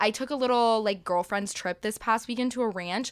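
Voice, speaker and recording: On a very clean recording with a silent background, a woman with an American accent uses a normal speaking voice at a medium pitch with ordinary pitch variation. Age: 20s. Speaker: podcast host. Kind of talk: casual chat.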